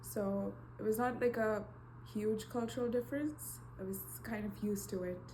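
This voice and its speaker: A woman at a moderate pace with long, frequent pauses, noticeable background noise, and audible room echo. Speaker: university student. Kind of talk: interview.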